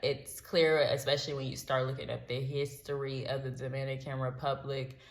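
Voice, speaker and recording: A woman's somewhat breathy, very deep voice with an American accent, at a fairly slow pace and with audible room echo. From United States. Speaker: travel vlogger. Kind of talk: storytime vlog. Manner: animated.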